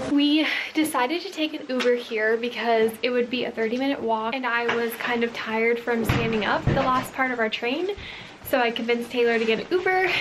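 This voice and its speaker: Over music in the background, a woman talks at a fairly quick pace with a high pitch and ordinary pitch variation. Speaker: travel vlogger. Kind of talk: casual vlog chat. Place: home room. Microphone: phone near.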